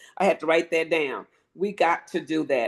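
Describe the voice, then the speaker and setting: This woman talks at a moderate pace in a normal speaking voice, pitched fairly low. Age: 50s. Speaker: union member and political activist. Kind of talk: casual chat.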